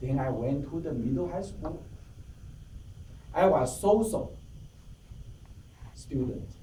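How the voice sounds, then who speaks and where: Long, frequent pauses break up a man's fairly slow speech. Audible room echo and noticeable background noise come through. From Taiwan. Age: 50s. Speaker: club member giving a speech. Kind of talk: prepared speech. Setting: club meeting with audience.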